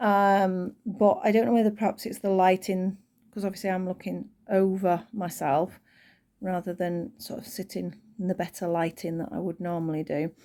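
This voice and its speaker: Against a silent background in a very clean recording, a woman speaks at a moderate pace and medium pitch, her relaxed tone dark and mellow, with ordinary pitch variation. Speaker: crochet tutorial creator. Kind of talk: tutorial. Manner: relaxed, chatty.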